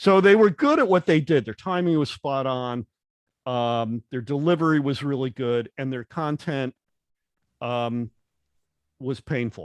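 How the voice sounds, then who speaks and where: The sound is dry and close with no echo, against a quiet background. A man of medium pitch speaks with ordinary pitch variation and long, frequent pauses. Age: 60s. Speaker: podcast host. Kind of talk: interview conversation.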